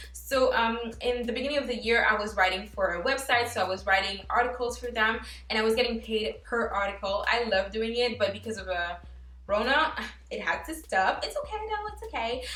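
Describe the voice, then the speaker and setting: In a French accent, a woman talks at a fairly quick pace with an animated tone, her voice carrying audible room echo. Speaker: lifestyle YouTuber. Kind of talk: casual vlog talk to camera.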